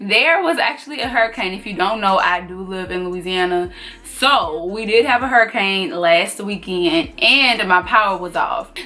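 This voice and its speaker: With music in the background, a woman with a Southern US accent speaks at a moderate pace with lively intonation, hardly any pauses and big swings in loudness. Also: medium pitch for a woman. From US South. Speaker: sewing tutor. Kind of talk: tutorial. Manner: casual.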